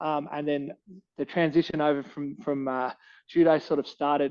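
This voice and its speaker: A man with a fairly high pitch and an Australian accent, at a moderate pace. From Australia, Canberra. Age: 30s. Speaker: martial arts coach and fighter. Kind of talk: podcast interview.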